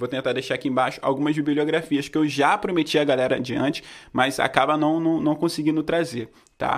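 This man talks at a fairly quick pace, his pitch fairly high and his intonation fairly even. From Rio de Janeiro state, Brazil. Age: 20s. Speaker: independent musician and podcast host. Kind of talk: casual educational talk.

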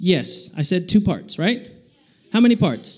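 A man with an American accent speaks in an animated tone. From Texas. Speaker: youth preacher. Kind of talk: sermon.

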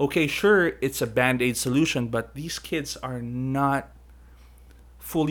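A man's medium-pitched, ordinary speaking voice at a fairly slow pace. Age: 30s. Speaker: podcast host. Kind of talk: casual chat.

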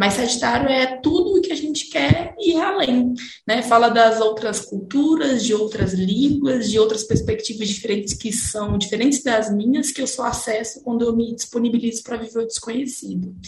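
Hardly pausing, a woman talks at a moderate pace with lively intonation and a fairly high pitch. There is noticeable background noise. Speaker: astrologer, podcast co-host. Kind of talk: casual chat.

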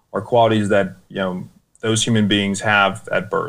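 A man speaks in an American accent at a fairly low pitch. His intonation is monotone and flat. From United States. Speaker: war veteran. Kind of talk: interview. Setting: video call.

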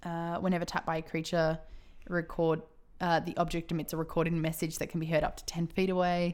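A woman speaks very fast at a fairly low pitch. Her intonation is monotone and flat. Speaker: podcast host. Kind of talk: casual chat. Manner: loud.

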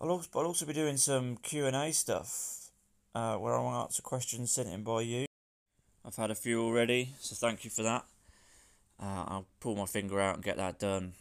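A man with an English Midlands accent speaks at a moderate pace. His pitch is medium with ordinary variation, on a very clean recording with a silent background. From England, Northampton. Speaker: personal trainer and podcast host. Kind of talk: casual solo podcast intro. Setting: outdoors in a garden.

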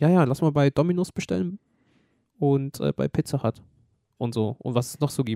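A man's fairly high-pitched voice with a dark, mellow tone, lively intonation, a moderate pace, long, frequent pauses, and a dry, close sound with no echo. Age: 20s. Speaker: podcast host. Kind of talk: casual chat.

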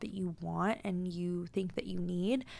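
A woman with an American accent at medium pitch and moderate pace, in a very clean recording with a silent background. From US Pacific Northwest, Tacoma, Washington. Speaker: podcast host. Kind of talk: casual monologue. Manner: animated.

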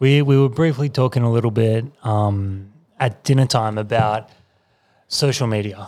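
A man with an unremarkable speaking voice talks at a moderate pace and medium pitch. His loudness stays very even and his intonation fairly even. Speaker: podcast co-host. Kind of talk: casual chat.

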